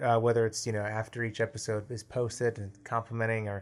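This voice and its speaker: A man's very fast speech at a medium pitch. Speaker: podcast co-host and producer. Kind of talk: casual interview. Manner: animated.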